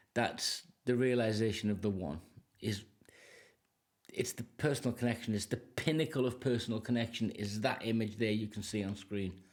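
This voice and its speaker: A man's ordinary speaking voice, medium in pitch with ordinary variation, at a moderate pace. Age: 60s. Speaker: music reaction youtuber. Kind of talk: casual commentary.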